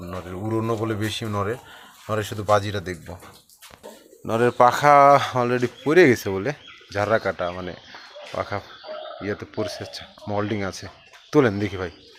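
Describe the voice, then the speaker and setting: A man's fairly low voice with ordinary pitch variation, big swings in loudness, and noticeable background noise. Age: 30s. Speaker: pigeon video channel host. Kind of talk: on-location interview.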